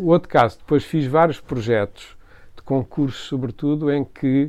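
Here is a man with a normal speaking voice at a medium pitch. His pitch variation is ordinary. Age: 60s. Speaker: architect. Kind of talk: interview conversation.

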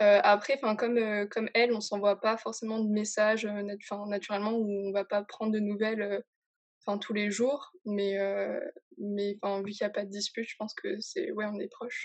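This woman's fairly high voice stays monotone, with flat intonation. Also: moderate pace. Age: young. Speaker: guest. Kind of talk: casual chat.

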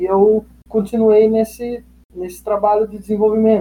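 A man talks fairly slowly with a high pitch. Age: 20s. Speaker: fitness coach. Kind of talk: casual interview.

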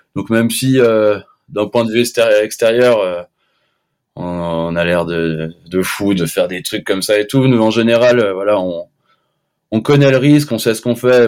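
An ordinary speaking voice, a man's at a fairly low pitch, moves at a moderate pace with ordinary pitch variation in a very clean recording with a silent background. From Switzerland, French-speaking. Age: 20s. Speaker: freeskier. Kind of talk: casual chat.

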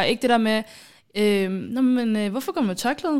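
On a very clean recording with a silent background, a woman with a fairly high pitch speaks in a plain, everyday voice at a moderate pace with ordinary pitch variation. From Somalia. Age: 20s. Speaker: podcast host, student. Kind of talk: casual chat.

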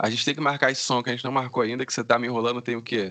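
The man's voice has a bright, sharp tone at a medium pitch. His intonation stays fairly even. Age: 20s. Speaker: podcast host. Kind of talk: casual interview chat; solo podcast intro. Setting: Skype call.

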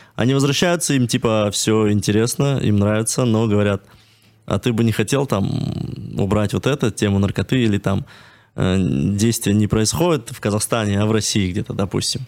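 A man with an ordinary speaking voice, fairly low pitch, moderate pace and ordinary pitch variation. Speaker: screenwriter. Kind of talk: casual chat.

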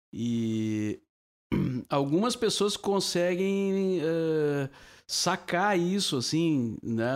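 On a very clean recording with a silent background, a man with a fairly high pitch speaks at a very slow pace, his loudness very even and his pitch swinging very widely. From southern Brazil, Cachoeira do Sul (Rio Grande do Sul). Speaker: veteran radio broadcaster. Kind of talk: casual chat. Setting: drinking wine during recorded podcast.

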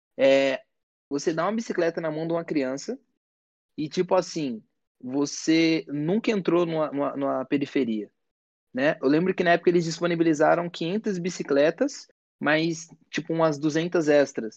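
The speech runs at a moderate pace over a quiet background. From São Paulo, Brazil. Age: 20s. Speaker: education project co-founder. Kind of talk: casual chat.

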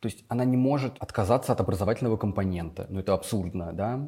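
Dark, mellow tone marks this man's voice. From Russia, Vladimir region (Gus-Khrustalny). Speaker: school teacher. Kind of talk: casual interview.

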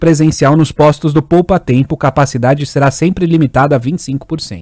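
An unremarkable speaking voice delivered at a moderate pace with ordinary pitch variation. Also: man. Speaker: radio news reader. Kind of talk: news reading. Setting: radio studio.

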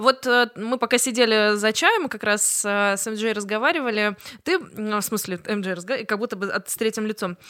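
Bright and sharp in tone, a woman speaks at a moderate pace with a fairly high pitch and ordinary pitch variation. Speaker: podcast host. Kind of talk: casual chat.

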